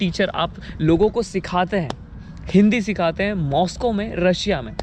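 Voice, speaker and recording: A man with a high-pitched voice and ordinary pitch variation talks through noticeable background noise. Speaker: vlogger. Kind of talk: interview.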